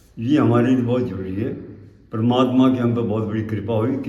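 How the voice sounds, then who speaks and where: A man talks at a moderate pace and medium pitch, with fairly even intonation. Audible room echo and noticeable background noise surround him. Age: 80s+. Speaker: retired agriculture official and yoga teacher. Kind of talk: interview.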